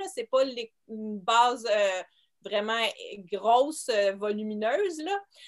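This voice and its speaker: This woman has a fairly high pitch with ordinary variation and a very slow pace. Her loudness swings widely, and she pauses long and often. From Quebec, Montreal. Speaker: homeschooling mother and teacher. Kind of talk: interview.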